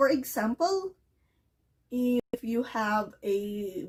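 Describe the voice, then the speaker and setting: A woman with a Filipino accent and lively intonation. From Philippines. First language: Filipino language. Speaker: ESL teacher. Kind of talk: English lesson to camera.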